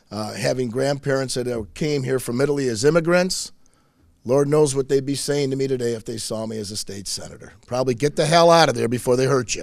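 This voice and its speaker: This man talks very fast with a Michigan accent. His voice sits at a medium pitch with ordinary pitch variation. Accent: Michigan (Inland North) American. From Michigan, Macomb County (St. Clair Shores). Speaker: state senator. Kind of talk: public speech. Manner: loud; animated.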